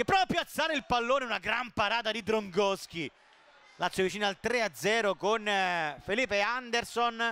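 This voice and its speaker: The raised, projected voice has a bright, sharp tone, moves at a moderate pace with ordinary pitch variation, and breaks up with long, frequent pauses. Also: man, high pitch for a man. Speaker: football commentator. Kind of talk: live football commentary. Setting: stadium, broadcast commentary. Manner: excitable, rising to shouts on goals.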